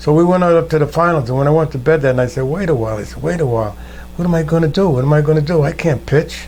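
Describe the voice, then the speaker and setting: Over noticeable background noise, a man talks very fast in a fairly high pitch with ordinary pitch variation. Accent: American. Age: 80s+. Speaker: war veteran. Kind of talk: oral history interview. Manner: conversational storytelling.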